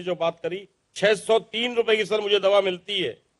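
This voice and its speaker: A man talks in a monotone, flat intonation. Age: 60s. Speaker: salesman, medicine beneficiary. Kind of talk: testimony. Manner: formal.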